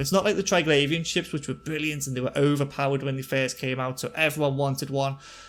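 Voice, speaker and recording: A man's very fast delivery at medium pitch, in a Liverpool accent. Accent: Liverpool-area accent, naturally fast. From northern England, near Liverpool. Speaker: gaming YouTuber. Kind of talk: game commentary tutorial. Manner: casual, with fillers.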